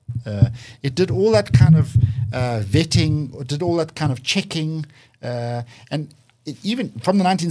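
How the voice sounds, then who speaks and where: This man's voice is somewhat breathy. He talks at a fairly high pitch. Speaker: think tank director. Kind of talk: interview. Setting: studio. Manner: passionate.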